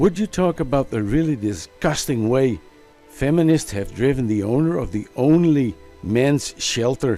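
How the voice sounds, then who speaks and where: With music in the background, a man at a medium pitch speaks fairly slowly with lively intonation. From Netherlands. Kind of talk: commentary response video. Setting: home recording, simple microphone.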